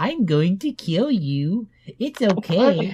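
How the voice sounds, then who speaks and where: At a very slow pace, a put-on character voice delivers the lines. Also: man, high pitch for a man. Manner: menacing.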